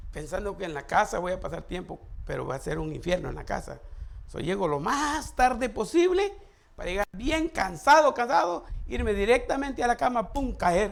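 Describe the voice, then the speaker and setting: The speaker talks at a moderate pace. Loudness swings widely and pitch swings very widely. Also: man, high pitch for a man. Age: 60s. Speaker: pastor. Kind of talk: sermon.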